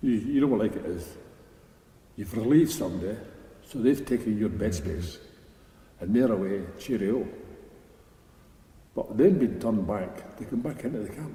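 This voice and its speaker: Speaking in a Scottish accent, a man with a medium-pitched, somewhat breathy voice and a dark, mellow tone uses lively intonation and takes long, frequent pauses. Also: moderate pace. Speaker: army veteran. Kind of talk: interview answer. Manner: casual, anecdotal.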